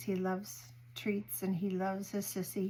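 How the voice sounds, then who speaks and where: On a very clean recording with a silent background, a woman speaks at a fairly slow pace in a somewhat breathy voice. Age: 60s. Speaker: home cooking vlogger. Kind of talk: casual chat.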